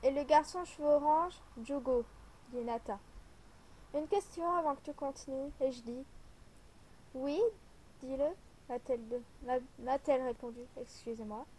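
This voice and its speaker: A soft-spoken woman with a high pitch talks at a very slow pace, leaving long, frequent pauses. Her loudness swings widely, while her pitch variation stays ordinary. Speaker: amateur writer. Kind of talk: reading own story aloud.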